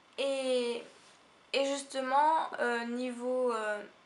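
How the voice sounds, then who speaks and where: A woman with a high-pitched voice. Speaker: beauty vlogger. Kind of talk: casual talk to camera.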